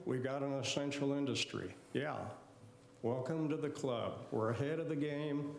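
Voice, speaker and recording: A man's fairly high voice at a moderate pace, with noticeable background noise and audible room echo. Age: 70s. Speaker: chiropractor speaking at public comment. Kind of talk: public comment at city meeting. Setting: city commission meeting.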